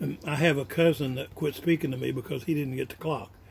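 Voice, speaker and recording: Over noticeable background noise, a man talks at a moderate pace, his medium pitch moving with ordinary variation. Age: 80s+. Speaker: retired college president. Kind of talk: family speech. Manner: halting.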